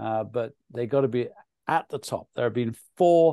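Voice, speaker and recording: Speaking with a British accent, a man uses a dark, mellow tone, medium pitch and lively intonation at a moderate pace against a quiet background. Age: 60s. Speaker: nutrition author and speaker. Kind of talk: webinar presentation Q&A.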